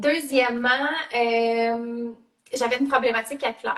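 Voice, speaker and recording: Speaking in a Quebec accent, a woman uses a high pitch at a fairly slow pace. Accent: Canadian French (Quebec). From Canada. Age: 30s. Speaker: network marketing entrepreneur. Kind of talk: live video interview. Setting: live video call. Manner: hesitant, many fillers.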